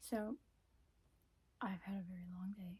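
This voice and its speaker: Soft-spoken and relaxed, the voice has a dark, mellow tone, is somewhat breathy, and moves at a fairly slow pace. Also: woman. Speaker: ASMR creator. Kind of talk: casual talk to camera, ASMR intro. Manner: soft-spoken, relaxed.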